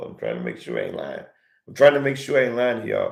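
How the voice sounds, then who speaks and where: A man's put-on character voice, hoarse and gravelly, at a very fast pace with big swings in loudness. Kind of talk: casual, colloquial.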